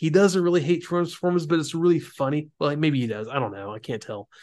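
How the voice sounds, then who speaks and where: A man with an American accent has an unremarkable speaking voice, fairly high in pitch, with lively intonation. The background is quiet. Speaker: podcast host. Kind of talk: casual chat.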